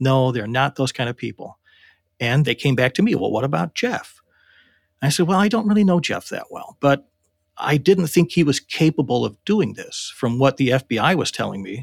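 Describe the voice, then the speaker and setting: Very wide pitch swings and vocal fry mark a man's voice, recorded very cleanly against a silent background with a dry, close sound and no echo. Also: fairly high pitch for a man, moderate pace. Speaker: interviewee, former war gamer. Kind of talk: recollection interview.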